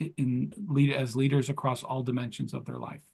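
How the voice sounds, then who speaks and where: A man speaks at a fairly quick pace with a fairly high pitch. His voice is somewhat breathy and his intonation fairly even. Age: 60s. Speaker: entrepreneur and leadership coach. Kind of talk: interview. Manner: hesitant, many fillers.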